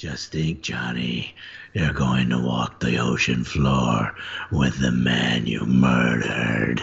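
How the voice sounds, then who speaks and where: Putting on a character voice, a man speaks very slowly in a very deep, low pitch that is raspy and gravelly. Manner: menacing.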